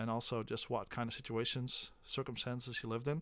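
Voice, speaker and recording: With a slight Dutch accent, a man talks at a medium pitch. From Netherlands. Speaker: special education teacher. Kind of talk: classroom talk before reading aloud. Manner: halting, many fillers.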